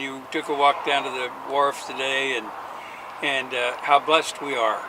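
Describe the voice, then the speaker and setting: Over noticeable background noise, a man with a fairly high pitch speaks at a moderate pace in a monotone, flat intonation. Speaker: radio show host. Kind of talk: radio interview.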